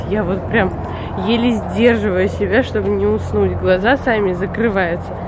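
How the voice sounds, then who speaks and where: A woman talks at a moderate pace, and the dry sound has no echo but noticeable background noise. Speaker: family vlogger. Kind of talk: casual vlog chat. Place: street. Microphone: phone near.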